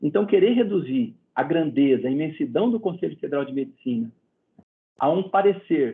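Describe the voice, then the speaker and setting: With lively intonation, a man talks at a moderate pace in an unremarkable speaking voice. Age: 60s. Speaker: medical council president and physician. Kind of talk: interview.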